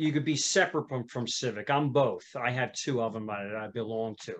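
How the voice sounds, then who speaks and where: At a moderate pace, a man in a Philadelphia accent speaks with ordinary pitch variation against a quiet background. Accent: Northeast Philly. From Northeast Philadelphia. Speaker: music school owner and musician. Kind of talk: casual podcast interview.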